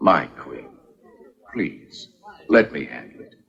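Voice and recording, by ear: A man puts on a character voice that is extremely low, husky and rough-edged with vocal fry, yet fairly bright in tone, swinging widely in pitch at a slow pace.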